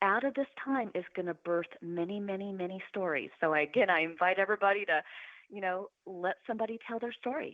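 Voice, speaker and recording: The speaker is a woman with a medium pitch. She talks at a fairly quick pace with ordinary pitch variation. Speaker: podcast guest, motivational show host. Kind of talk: interview conversation. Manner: loud; animated.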